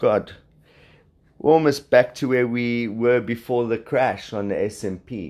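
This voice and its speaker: A man with a South African accent at medium pitch, fairly slow pace and ordinary pitch variation, in a very clean recording with a silent background. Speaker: podcast host, trader. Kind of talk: solo podcast monologue on markets. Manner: casual, hesitant with fillers.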